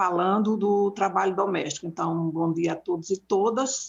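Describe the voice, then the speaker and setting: The woman's voice is somewhat breathy, at a medium pitch. She keeps a moderate pace and fairly even intonation. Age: 60s. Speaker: domestic workers' union leader. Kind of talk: public debate talk. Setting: live broadcast debate.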